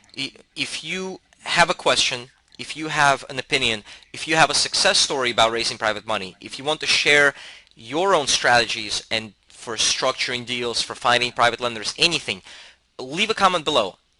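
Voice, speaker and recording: Loudness swings widely as a man with a medium pitch talks with lively intonation. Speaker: real estate investing educator. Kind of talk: tutorial. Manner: fast.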